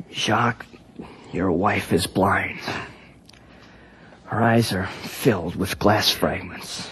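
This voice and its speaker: A raspy, put-on character voice from a man, fairly low in pitch with ordinary pitch variation, at a very slow pace full of long, frequent pauses. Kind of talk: 1950s radio drama acting. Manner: grave, compassionate.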